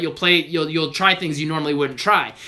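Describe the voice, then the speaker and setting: A man is speaking here. His tone is bright and sharp. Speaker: basketball trainer. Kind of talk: live Q&A stream. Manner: fast.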